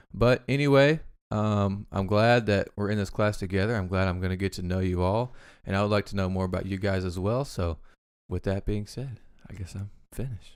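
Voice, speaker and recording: A man with an Arkansas accent at a fairly quick pace and fairly low pitch, with ordinary pitch variation, on a very clean recording with a silent background. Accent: Southern US (Arkansas). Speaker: podcast co-host. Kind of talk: practice class speech; casual chat. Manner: fast; halting.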